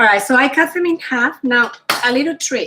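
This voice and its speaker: Here a woman speaks at a moderate pace. Her intonation is lively. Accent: Spanish. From Spain. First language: Spanish. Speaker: cooking show host. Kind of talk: cooking tutorial. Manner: casual, chatty with many fillers.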